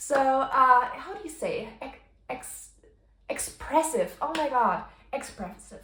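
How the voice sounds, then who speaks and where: In a Bavarian accent, a woman speaks at a very slow pace and high pitch, her pitch swinging very widely. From Bavaria, Germany. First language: German (Bavarian dialect). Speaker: stationery and journaling YouTuber. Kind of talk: casual tutorial vlog. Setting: home kitchen. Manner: casual, with frequent fillers and word searching.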